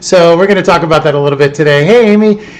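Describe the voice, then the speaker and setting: His voice is fairly high for a man, with lively intonation. Background noise is noticeable. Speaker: podcast host. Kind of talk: live-streamed podcast chat. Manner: loud; animated.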